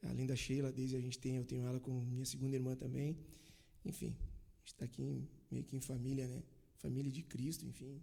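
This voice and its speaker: At a fairly quick pace, a man talks in a dark, mellow, somewhat breathy voice with monotone, flat intonation. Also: medium pitch for a man. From Bento Gonçalves, Rio Grande do Sul, Brazil. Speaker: church member sharing testimony. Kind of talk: casual chat.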